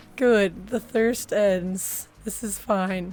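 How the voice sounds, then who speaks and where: With music playing in the background, a woman at medium pitch speaks at a very slow pace. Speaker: streamer. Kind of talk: casual chat. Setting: live stream.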